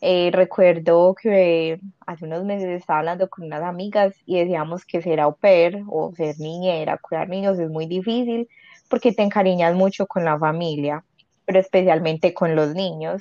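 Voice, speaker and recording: A woman's fairly low, dark, mellow voice at a moderate pace, with fairly even intonation and a dry, close sound with no echo. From Colombia, Medellín. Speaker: former au pair. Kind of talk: casual interview. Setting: call.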